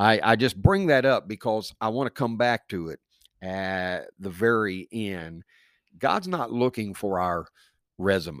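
In a very clean recording with a silent background and a dry, close sound with no echo, a man with an unremarkable speaking voice talks at a fairly slow pace and fairly low pitch with lively intonation. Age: 50s. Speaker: pastor. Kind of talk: casual interview.

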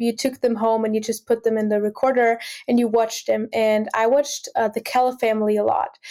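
In an Austrian accent, a woman speaks with a dark, mellow tone, fairly high pitch and fairly even intonation, on a very clean recording with a silent background. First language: German. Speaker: singer-songwriter and music student. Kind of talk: casual interview conversation.

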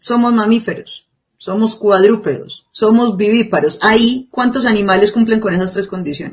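A woman's fairly high, somewhat breathy voice moves at a moderate pace with ordinary pitch variation. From Colombia, Antioquia (La Ceja). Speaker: podcast co-host. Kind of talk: casual discussion.

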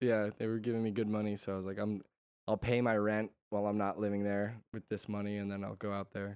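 In an American accent, a man speaks at a fairly quick pace with a fairly low pitch and monotone, flat intonation. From Connecticut, US. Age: 20s. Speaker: musician. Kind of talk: casual chat.

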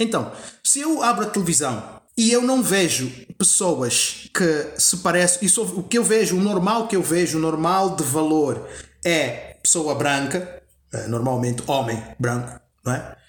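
Audible room echo surrounds a man whose high voice makes very wide pitch swings at a fairly slow pace with very even loudness. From Angola. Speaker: actor. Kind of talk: podcast interview. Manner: halting, many fillers and repetitions.

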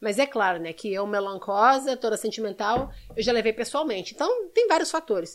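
Intonation rises and falls in a lively way. The delivery is neither fast nor slow. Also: woman, fairly high pitch for a woman. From Brazil, Belo Horizonte (Minas Gerais). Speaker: actress and model. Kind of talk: casual chat.

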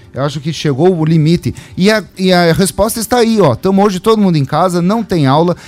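Over noticeable background noise, a high-pitched man talks at a fairly quick pace with lively intonation. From Cascavel, Paraná, Brazil. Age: 40s. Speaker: mayoral pre-candidate. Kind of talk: radio interview.

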